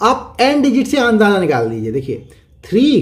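A man's pitch swings very widely as he talks, and audible room echo follows his words. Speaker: maths teacher. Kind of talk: lecture.

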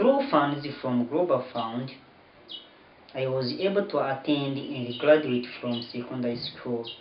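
The speech moves at a fairly slow pace with ordinary pitch variation. Light background noise and audible room echo are present. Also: man, medium pitch for a man. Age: 20s. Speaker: university student. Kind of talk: appeal for donations read to camera. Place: home room. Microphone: camera far.

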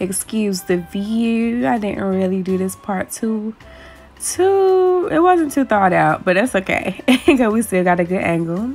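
Over faint background music, a woman talks at a fairly slow pace. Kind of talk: tutorial. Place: kitchen. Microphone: phone near.

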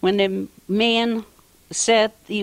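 A woman with a Lithuanian accent. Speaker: postwar immigrant. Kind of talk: interview. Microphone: handheld.

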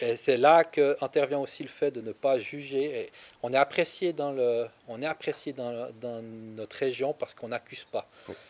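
Keeping a moderate pace and fairly even intonation, a man speaks with big swings in loudness. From Switzerland. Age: 30s. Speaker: farmer; interviewee. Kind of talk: interview. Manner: hesitant, many fillers. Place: garden. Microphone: handheld.

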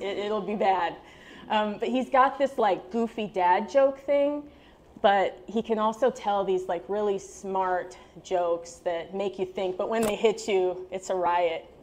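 A woman's medium-pitched voice at a fairly slow pace, with ordinary pitch variation. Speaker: storytelling student, part-time English teacher. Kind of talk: storytelling performance. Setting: stage with audience. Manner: animated, laughs often. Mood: light, humorous. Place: cafe. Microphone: handheld.

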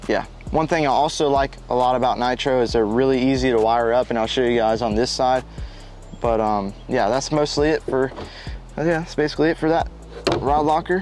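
Music plays in the background as a man talks at a fairly quick pace with ordinary pitch variation. His loudness stays very even, and the sound is dry with no echo. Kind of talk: casual vlog chat. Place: open country.

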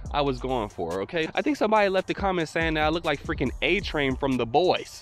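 Faint music plays behind a man speaking. The sound is dry with no echo, and his pace is fairly quick. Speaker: e-bike vlogger. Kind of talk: casual vlog chat. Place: open country. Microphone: handheld.

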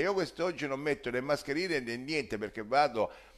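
A man's fairly high voice carries vocal fry. The background is quiet. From Sicily. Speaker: social commentator; political commentator. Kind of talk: monologue. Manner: animated. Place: kitchen.

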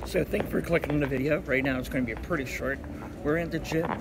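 Noticeable background noise sits under this recording. A man talks at a very fast pace. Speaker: workout coach. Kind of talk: casual vlog chat. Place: gym. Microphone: phone near.

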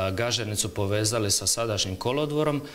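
A man's fairly low voice with light background noise. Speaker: government official. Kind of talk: TV interview. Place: studio. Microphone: lapel.

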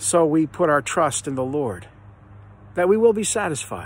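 Light background noise sits behind a man whose voice sounds dry, with no echo. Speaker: speaker. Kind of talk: devotional reflection. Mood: earnest, reflective. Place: garden. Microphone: phone near.

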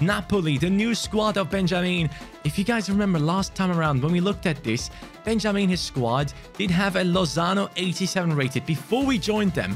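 A moderate pace and ordinary pitch variation, with faint music in the background. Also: man. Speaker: gaming youtuber. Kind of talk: gaming commentary. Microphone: studio mic.

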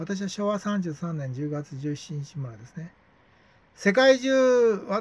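With lively intonation and a high pitch, a man speaks at a fairly slow pace. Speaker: YouTuber. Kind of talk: monologue. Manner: rambling, filler-heavy. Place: home room. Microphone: phone near.

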